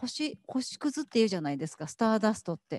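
A woman's fairly high, somewhat breathy voice with a dark, mellow tone and very wide pitch swings, dry with no echo against a quiet background. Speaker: event host. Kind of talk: guided gallery tour interview. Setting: gallery exhibition. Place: hall. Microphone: handheld.

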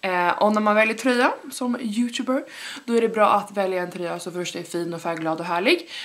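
Speech moves along at a moderate pace. Its intonation stays lively throughout. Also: woman, medium pitch for a woman. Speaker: YouTuber and student entrepreneur. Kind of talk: vlog. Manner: casual, many fillers. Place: home room. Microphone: camera far.

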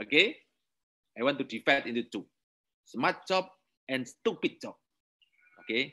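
Against a quiet background, a man with a fairly high pitch and a bright, sharp tone talks with lively intonation and long, frequent pauses. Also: moderate pace. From Indonesia. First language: Indonesian. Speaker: university lecturer. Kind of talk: lecture.

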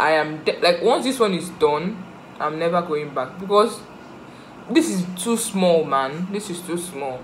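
A woman with an unremarkable speaking voice, a fairly low pitch and ordinary pitch variation, with light background noise. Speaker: vlogger. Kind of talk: casual vlog chat. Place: home room. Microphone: phone near.

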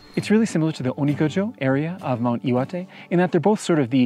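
The man's voice has a dark, mellow tone, recorded dry with no echo. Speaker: hiking guide vlogger. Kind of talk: travel vlog commentary. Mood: calm, enthusiastic. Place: open country. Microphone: lapel.

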